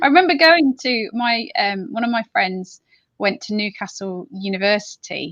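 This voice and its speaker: Speaking at a moderate pace, a woman with a fairly high pitch lets her voice make very wide pitch swings. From Nottingham, England. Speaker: vlogger and reseller. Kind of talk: casual chat. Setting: livestream.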